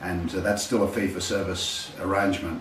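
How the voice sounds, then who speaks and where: A man's very deep voice with an Australian accent, fairly quick delivery, audible room echo and noticeable background noise. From Australia (Sydney). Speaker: healthcare testimonial contributor. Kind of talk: testimony. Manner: halting.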